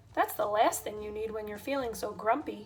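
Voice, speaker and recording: Someone does a put-on character voice at a fairly quick pace, with music playing in the background. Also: woman, fairly high pitch for a woman. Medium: read story. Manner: gentle, well-meaning.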